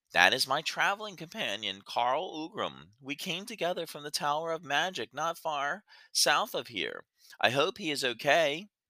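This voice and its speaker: Putting on a squeaky character voice, a man talks at a moderate pace and a fairly high pitch. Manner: meek, timid.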